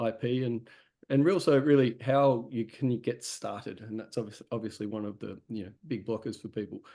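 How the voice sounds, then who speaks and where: This man has an Australian accent and a fairly quick pace. His pitch varies in an ordinary way. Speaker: webinar host, company CEO. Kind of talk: webinar interview. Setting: online webinar.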